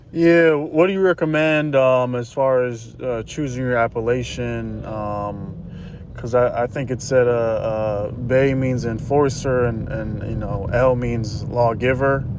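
Noticeable background noise surrounds a man speaking at a very slow pace with hardly any pauses. His medium pitch has ordinary variation, and he has an American accent. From US South, Georgia. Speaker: audience member asking questions. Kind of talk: question to guest. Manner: halting.

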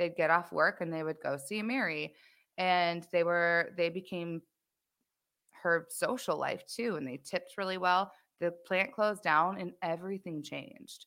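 Speaking with an American accent, a woman has a bright, sharp tone, a fairly low pitch, ordinary pitch variation and a moderate pace. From Michigan, US. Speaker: band singer. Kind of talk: casual interview chat. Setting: live stream, remote.

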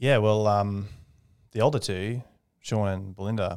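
With an Australian accent, a man speaks at a moderate pace with a fairly low pitch and fairly even intonation on a very clean recording with a silent background. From Australia, Redcliffe, north Brisbane. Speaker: aerospace engineer. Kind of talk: casual interview.

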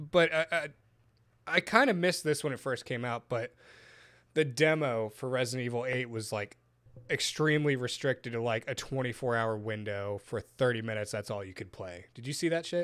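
Over a silent background on a very clean recording, a man with a plain, everyday voice speaks at a moderate pace and medium pitch with ordinary pitch variation. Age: 20s. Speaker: podcast host and vape shop manager. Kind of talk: casual chat.

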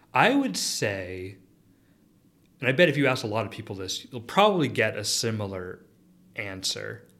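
Amid audible room echo, a man with a fairly low voice talks at a moderate pace with ordinary pitch variation and long, frequent pauses. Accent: American. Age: 30s. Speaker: chemistry professor. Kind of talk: interview.

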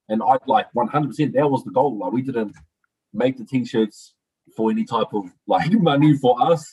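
Here a somewhat breathy man speaks with a medium pitch. He moves at a moderate pace with lively intonation. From northern New Zealand. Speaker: mental health worker. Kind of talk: casual chat.

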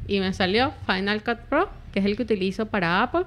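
A woman speaks with a Caracas accent. Her pitch sits fairly high. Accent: Venezuelan Spanish (Caracas). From Venezuela, Caracas. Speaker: YouTuber. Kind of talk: casual chat.

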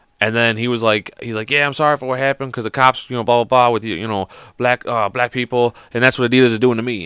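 A loud man speaks very fast at a medium pitch with an American accent and a bright, sharp tone. The sound is dry and close with no echo, in a very clean recording with a silent background. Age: 30s. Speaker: podcast host.

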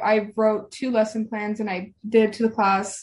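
A woman speaks with a somewhat breathy voice. Her pitch sits fairly high. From Arizona, US (raised there). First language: non-English home language. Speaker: university student and student teacher. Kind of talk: casual chat.

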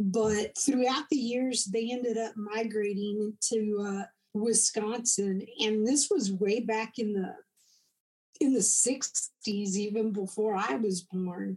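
Very slowly, a woman with a Texan accent speaks in a fairly high pitch, somewhat breathy, with a dark, mellow tone. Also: ordinary pitch variation. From Texas. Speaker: combat veteran. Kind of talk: interview. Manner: halting.

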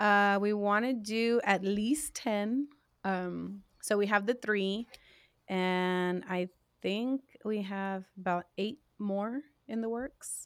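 On a very clean recording with a silent background, a woman at medium pitch talks at a very slow pace with fairly even intonation. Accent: American. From South Texas, Corpus Christi. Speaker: singer and songwriter. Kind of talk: casual interview.

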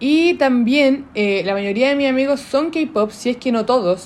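A woman speaks with a Chilean accent and a high voice. Her pace is fairly slow. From southern Chile. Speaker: podcast host. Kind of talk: casual monologue. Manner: informal, unscripted.

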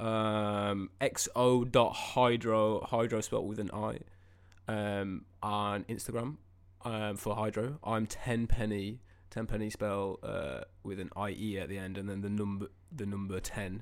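A plain, everyday voice speaks fairly slowly with fairly even intonation in a very clean recording with a silent background. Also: man, fairly low pitch for a man. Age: 20s. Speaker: musician and podcast co-host. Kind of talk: casual chat.

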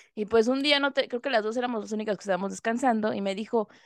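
With a medium pitch and ordinary pitch variation, a woman speaks in an ordinary speaking voice, the sound dry and close with no echo against a quiet background. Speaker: podcast co-host. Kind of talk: casual chat.

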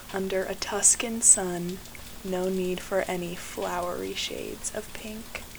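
The speech keeps a fairly slow pace and fairly even intonation, with noticeable background noise behind it. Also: woman, medium pitch for a woman. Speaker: poet and podcast host. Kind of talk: spoken word poetry reading, lyrical and image-rich.

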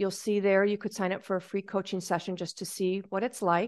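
A woman talks with a medium pitch. Behind her, the background stays quiet. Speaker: parenting coach. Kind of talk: casual interview chat. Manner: conversational, hesitant.

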